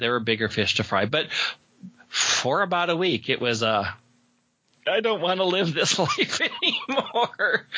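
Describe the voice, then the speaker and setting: A man's pitch swings very widely while his loudness stays very even. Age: 40s. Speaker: podcaster and game master. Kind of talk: casual interview chat.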